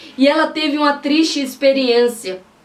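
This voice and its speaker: The woman speaks at a fairly slow pace. Background noise is noticeable throughout. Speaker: pastor and preacher. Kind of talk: sermon-style preaching to camera.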